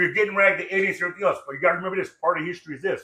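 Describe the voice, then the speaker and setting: A man speaks at a high pitch in an animated, bright, sharp tone. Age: 60s. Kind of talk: casual chat. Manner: fast.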